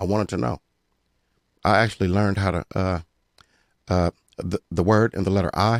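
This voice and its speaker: Speaking at a fairly quick pace yet with long, frequent pauses, a man with a very deep, low pitch sounds dry and close, with no echo. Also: ordinary pitch variation. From Pomona, California. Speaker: rapper. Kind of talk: casual interview chat. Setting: studio.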